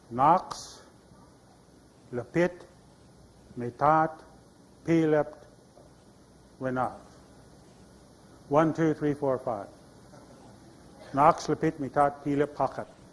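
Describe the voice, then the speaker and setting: Speaking with an American accent, a man with a fairly high pitch goes at a very slow pace, fairly even in intonation, with long, frequent pauses. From Idaho, Nez Perce community (US Northwest). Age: 60s. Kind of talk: storytelling and audience Q&A. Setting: stage with audience in an exhibit tent.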